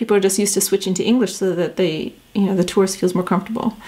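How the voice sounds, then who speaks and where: A woman talks at a very fast pace with fairly even intonation. Noticeable background noise runs underneath. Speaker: entrepreneur vlogger. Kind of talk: casual vlog talk. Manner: hesitant, many fillers and restarts.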